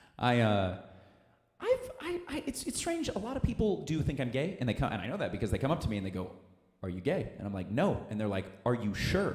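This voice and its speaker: The speaker has an American accent and talks at a fairly quick pace. Audible room echo is present. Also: man. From Missouri. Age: 20s. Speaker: comedian. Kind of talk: stand-up. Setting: stage with audience. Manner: animated.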